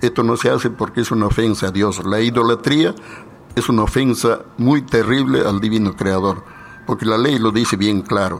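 A man's medium-pitched voice at a moderate pace, with ordinary pitch variation, very even loudness and noticeable background noise. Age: 80s+. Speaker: leader of a spiritual movement. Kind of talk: radio interview.

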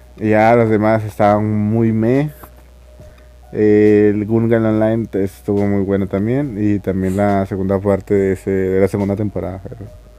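Flat, monotone delivery comes through over noticeable background noise. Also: man, fairly low pitch for a man, moderate pace. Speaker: anime podcaster. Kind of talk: casual monologue. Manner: halting, with frequent repetitions.

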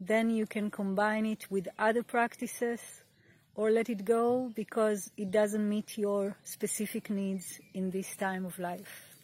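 A woman speaks at a fairly slow pace in a calm, soothing, somewhat breathy voice with monotone, flat intonation, on a very clean recording with a silent background. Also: fairly high pitch for a woman. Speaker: meditation teacher. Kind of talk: guided meditation. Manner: slow, calm, soothing.

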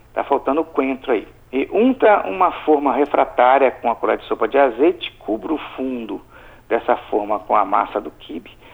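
A man talks at a moderate pace with a medium pitch and lively intonation. His is an unremarkable speaking voice. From Brazil, Espírito Santo (Alegre, south of the state). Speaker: chef. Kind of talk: recipe tutorial in radio chat.

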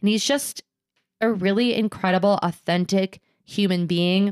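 In a very clean recording with a silent background, a woman speaks at medium pitch and a moderate pace in an animated tone, the sound dry and close with no echo. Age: 30s. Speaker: podcast co-host. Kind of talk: casual chat. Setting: home recording with cats.

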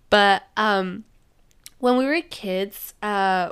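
A woman with a Spanish accent speaks at a medium pitch. The recording is very clean, with a silent background. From Mexico. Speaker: podcast host. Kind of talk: casual chat, interview.

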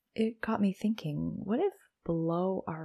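Against a quiet background, a somewhat breathy, dark and mellow voice moves at a fairly slow pace in a calm, soothing tone with fairly even intonation. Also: woman. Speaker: podcast host and coach. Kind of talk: solo podcast episode, casual educational talk. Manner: calm, slow, soothing.

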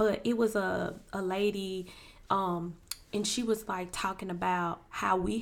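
At a fairly slow pace, a woman with a medium pitch speaks with fairly even intonation. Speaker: podcast co-host. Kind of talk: casual chat. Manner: calm.

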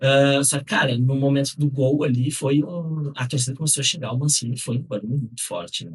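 Somewhat breathy and fairly high in pitch, a man talks at a fairly quick pace with hardly any pauses and ordinary pitch variation. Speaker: football podcast co-host. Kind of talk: casual chat.

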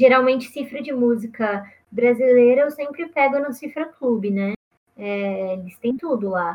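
A woman's high-pitched voice at a fairly slow pace, with ordinary pitch variation and big swings in loudness. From Brazil, interior of São Paulo state. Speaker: musician and content creator. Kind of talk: casual interview.

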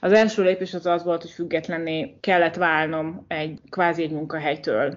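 A woman speaks at a fairly slow pace in a fairly low pitch. It is a normal speaking voice. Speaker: entrepreneur. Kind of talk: interview.

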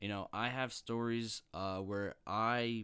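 The recording is very clean, with a silent background. A man speaks in a fairly low, monotone voice with flat intonation. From Long Island, New York. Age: 20s. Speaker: podcast host, college student. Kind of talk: solo podcast monologue, food review.

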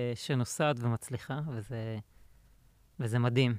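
Speech comes at a very slow pace with ordinary pitch variation. The very clean recording has a silent background and a dry, close sound with no echo. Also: man. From Israel, central. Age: 30s. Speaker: insurance software consultant. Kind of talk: casual interview. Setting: studio.

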